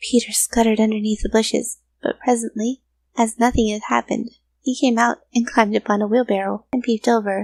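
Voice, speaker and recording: A woman with a normal speaking voice and fairly high pitch speaks at a moderate pace with fairly even intonation, in a dry, close sound with no echo. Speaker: voice actor. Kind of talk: children's story reading.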